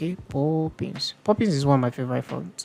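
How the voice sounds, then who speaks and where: A woman talks at a moderate pace in a very deep, low voice with ordinary pitch variation. Music plays in the background. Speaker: design tutorial creator. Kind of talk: tutorial.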